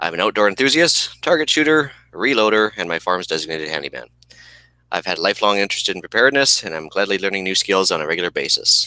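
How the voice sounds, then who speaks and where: A man with a Canadian accent speaks at a very fast pace with lively intonation. His voice sits fairly low, with a bright, sharp tone. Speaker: podcast co-host. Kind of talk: casual chat.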